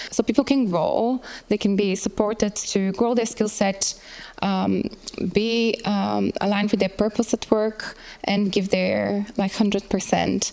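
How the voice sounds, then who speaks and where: With a Bulgarian accent, a woman speaks at a fairly slow pace in a medium pitch, her loudness very even and her intonation monotone and flat, over noticeable background noise. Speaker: workplace well-being designer. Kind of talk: panel talk presentation.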